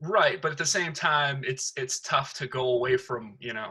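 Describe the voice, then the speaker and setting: Loud and bright, with a sharp tone, a man with an American accent speaks at a moderate pace in a fairly high pitch, his pitch varying an ordinary amount. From Detroit area, Michigan. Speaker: stand-up comedian. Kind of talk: casual chat.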